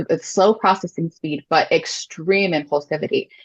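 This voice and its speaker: Speaking at a moderate pace, a woman with fairly low pitch has an unremarkable speaking voice, recorded dry and close with no echo. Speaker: adoptive mom. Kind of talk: interview conversation.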